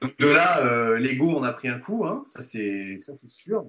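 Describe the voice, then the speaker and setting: The man's voice sits at a medium pitch. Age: 30s. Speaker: self-defense instructor. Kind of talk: interview. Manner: hesitant, many fillers.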